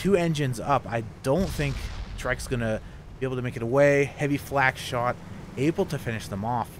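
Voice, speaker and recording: Speaking at a fairly quick pace, a man uses a medium pitch with ordinary pitch variation. His tone is calm. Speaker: esports commentator. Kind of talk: live esports commentary. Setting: recorded commentary over game footage. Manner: fluent play-by-play, brisk and matter-of-fact, calm with slight hesitations.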